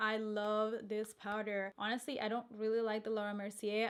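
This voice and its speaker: A woman's fairly high voice moves at a moderate pace. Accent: Spanish. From Colombia. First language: Spanish. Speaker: beauty vlogger and makeup artist. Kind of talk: casual product review vlog.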